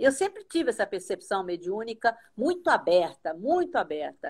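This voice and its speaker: Her voice sits fairly high for a woman. She moves at a moderate pace, with very wide pitch swings. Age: 70s. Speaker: astral projection teacher. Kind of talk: casual chat.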